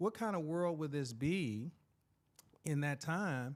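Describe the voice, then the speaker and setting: An American man with an animated tone speaks at a fairly slow pace. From Kansas City and Louisiana, US. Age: 50s. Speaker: school principal and educator. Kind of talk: interview.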